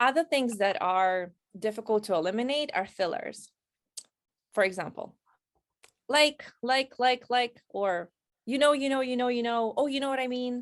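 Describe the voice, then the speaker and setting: A woman speaks at a moderate pace with a non-native accent, her pitch high and her intonation lively. She leaves long, frequent pauses. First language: not English. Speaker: career coach. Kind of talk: interview advice.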